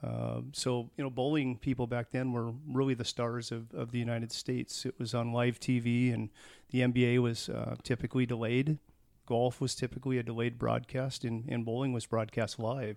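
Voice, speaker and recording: In an American accent, a man speaks at a moderate pace and medium pitch with monotone, flat intonation. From US Pacific Northwest, Tacoma, Washington. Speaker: food company employee. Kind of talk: interview.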